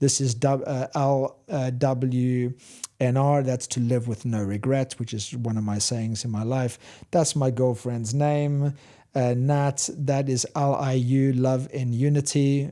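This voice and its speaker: The recording is very clean, with a silent background. A man speaks at a medium pitch with a dark, mellow tone. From South Africa, Cape Town. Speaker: spiritual teacher and coach. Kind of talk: interview.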